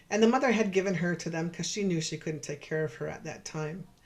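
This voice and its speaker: Somewhat breathy and fairly low-pitched, a woman with a Canadian accent speaks at a fairly quick pace with ordinary pitch variation. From Canada, Saskatchewan (Cree, George Gordon First Nation). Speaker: professor and researcher. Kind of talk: virtual lecture presentation. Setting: virtual presentation. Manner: fast; hesitant, with fillers and repetitions.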